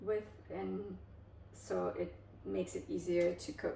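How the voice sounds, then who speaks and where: A woman with a Russian accent at a very slow pace, with audible room echo and noticeable background noise. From Kazakhstan, then Germany as a teen. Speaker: cooking vlogger. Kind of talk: cooking tutorial with storytelling. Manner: casual, hesitant with frequent fillers.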